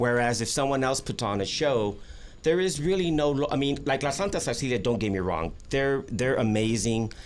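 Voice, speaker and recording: Audible room echo surrounds the voice. A man talks at a moderate pace and a medium pitch. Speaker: festival organizer. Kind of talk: casual chat. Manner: halting.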